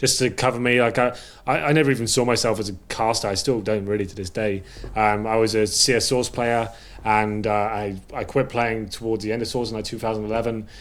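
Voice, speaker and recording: Fairly even intonation from a man, medium in pitch and fairly quick in pace. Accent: English. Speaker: esports caster and analyst. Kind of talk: casual chat.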